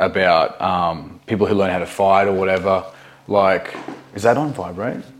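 A man speaks at a very deep, low pitch with ordinary pitch variation. His pace is moderate, and there is noticeable background noise. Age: 30s. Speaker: podcast host and fitness coach. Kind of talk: casual interview chat.

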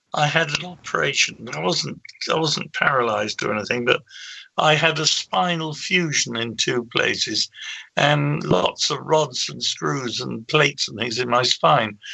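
Speaking at a fairly slow pace, a man talks with an English accent. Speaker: paranormal researcher. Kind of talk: interview. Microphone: bad connection.

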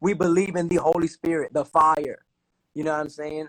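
Fairly high in pitch, a man with an American accent talks at a fairly quick pace in a dry, close sound with no echo. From Newark, New Jersey. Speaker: singer-songwriter and drummer. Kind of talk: casual live interview. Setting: online live stream.

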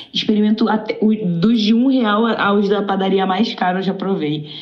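A woman at a moderate pace with ordinary pitch variation, amid noticeable background noise and audible room echo. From Rio de Janeiro, Brazil. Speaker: caller. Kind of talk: casual chat.

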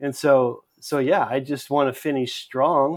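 Speaking at a fairly slow pace with an American accent, a man holds a monotone, flat intonation at medium pitch, captured on a very clean recording with a silent background. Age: 60s. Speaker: pastor. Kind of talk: casual chat.

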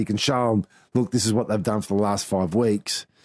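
A man with an Australian accent talks at a very fast pace in a fairly low pitch. His intonation is fairly even, and the recording is very clean with a silent background. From Queensland, Australia (Townsville). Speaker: former rugby league coach and analyst. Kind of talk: casual interview. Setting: his office.

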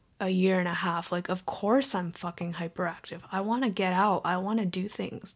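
A woman speaks in a normal speaking voice at a medium pitch, with fairly even intonation and a moderate pace. The recording is very clean, with a silent background. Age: 20s. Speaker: solo podcaster. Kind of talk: casual monologue. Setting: home bedroom.

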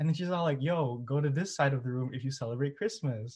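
This man has an American accent and a medium pitch. He speaks at a fairly quick pace and sounds somewhat breathy. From Twin Cities, Minnesota, US. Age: 20s. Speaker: undergraduate student. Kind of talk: casual chat.

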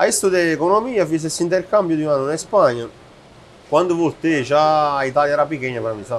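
This man speaks very fast with an Italian accent. His pitch is fairly high and his intonation is lively. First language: Italian (speaking Portuguese). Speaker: chef and restaurateur. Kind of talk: casual interview.

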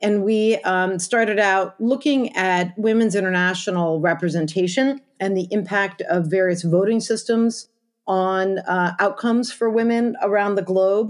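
A woman in a plain, everyday voice, medium-pitched with ordinary pitch variation, at a fairly slow pace with very even loudness and hardly any pauses. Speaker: advocacy organization founder. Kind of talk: interview.

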